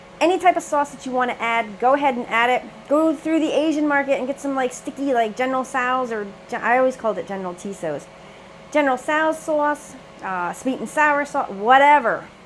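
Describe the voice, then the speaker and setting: Over noticeable background noise, a woman with a high pitch talks at a fairly quick pace in an animated tone, her pitch varying in an ordinary way. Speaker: cooking channel host. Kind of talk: cooking tutorial.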